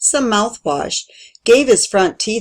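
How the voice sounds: Quiet surrounds the recording. The reading voice is natural.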